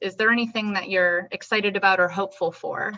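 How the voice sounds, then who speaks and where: Loud and at a fairly quick pace, a woman speaks with a bright, sharp tone. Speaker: interviewer. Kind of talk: interview.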